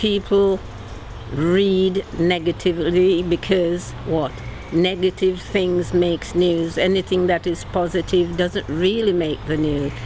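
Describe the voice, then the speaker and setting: Noticeable background noise sits behind a woman's voice. Her pitch is fairly low and her intonation monotone and flat. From Birmingham, England. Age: 70s. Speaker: longtime local resident. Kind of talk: documentary interview.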